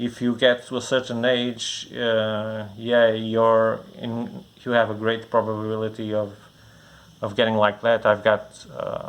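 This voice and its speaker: Mumbling at a fairly slow pace, the speaker talks with a Portuguese accent. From Portugal. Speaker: comic bookstore owner. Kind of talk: casual product preview. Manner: halting, many fillers and repeats.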